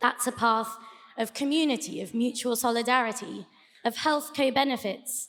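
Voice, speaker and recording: With a British accent, a woman speaks at a high pitch and a fairly slow pace. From UK. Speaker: debate speaker. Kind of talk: debate speech.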